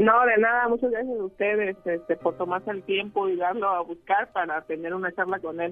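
Delivered at a fairly quick pace with hardly any pauses, this is an unremarkable speaking voice with ordinary pitch variation. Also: woman. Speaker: mother of viral boy. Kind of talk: phone interview.

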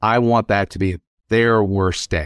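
An ordinary speaking voice from a man with an American accent, fairly low in pitch with ordinary pitch variation, comes through a dry, close sound with no echo and a quiet background. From US South (South Louisiana). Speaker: lawyer. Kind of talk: interview.

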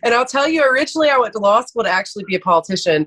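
In a Georgia accent, a woman speaks with lively intonation, the sound dry and close with no echo. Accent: Southern American (Georgia). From US South, Athens, Georgia. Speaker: lawyer. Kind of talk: interview.

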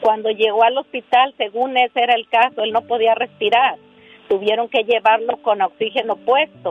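Her loudness stays very even as a woman speaks at a moderate pace. Her intonation is fairly even. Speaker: caller. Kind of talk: emotional plea, call. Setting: phone call.

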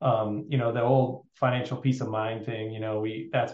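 Fairly even in intonation, a man speaks at a medium pitch in an unremarkable speaking voice. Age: 50s. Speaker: financial planner. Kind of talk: interview.

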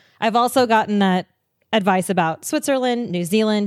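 A woman in a normal speaking voice, fairly quick, with ordinary pitch variation and a dry, close sound with no echo. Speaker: podcast host and traveler. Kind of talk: casual chat. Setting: video call.

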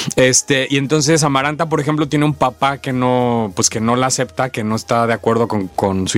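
A man's voice over noticeable background noise. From Tabasco, Mexico. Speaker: actor. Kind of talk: interview.

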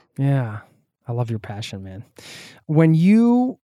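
A man's dark, mellow tone comes through in a very clean recording with a silent background and a dry, close sound with no echo. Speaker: travel podcast host. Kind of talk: casual interview chat.

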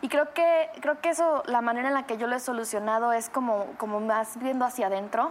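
A woman with a high voice talks at a fairly quick pace, with ordinary pitch variation and hardly any pauses. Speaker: actress and singer. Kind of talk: casual chat.

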